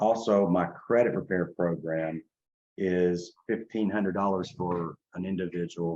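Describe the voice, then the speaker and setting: Fairly even in intonation, a man speaks with a very deep, low pitch. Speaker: credit and business funding consultant. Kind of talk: sales pitch. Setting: webinar with internet connection problems. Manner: fast; repetitive, halting restarts.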